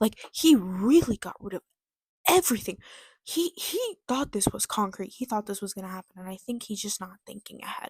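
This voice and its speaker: A woman with a fairly high, somewhat breathy voice speaks at a moderate pace with lively intonation and an animated tone, the sound dry and close with no echo. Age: young. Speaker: vlogger. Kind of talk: casual commentary.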